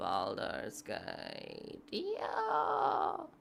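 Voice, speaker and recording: A woman speaks with audible room echo. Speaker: live streamer, gamer. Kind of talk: casual chat. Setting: live stream.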